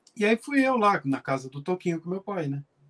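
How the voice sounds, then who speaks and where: Recorded with a dry, close sound and no echo, a man speaks. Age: 50s. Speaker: pianist and music teacher. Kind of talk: interview. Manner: halting.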